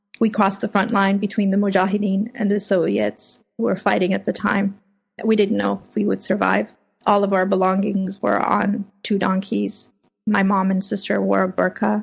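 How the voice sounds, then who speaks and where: A woman at a moderate pace with big swings in loudness. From Afghanistan, then California (Fremont). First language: Farsi (Dari/Persian). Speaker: freelance journalist. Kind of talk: interview. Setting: home office.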